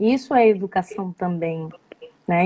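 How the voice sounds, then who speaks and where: A woman with a Belém accent at a very slow pace. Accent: Belém (Pará) accent, noticeable. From Belém do Pará, northern Brazil. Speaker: psychoanalyst, live show host. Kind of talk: live interview conversation. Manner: halting, many fillers.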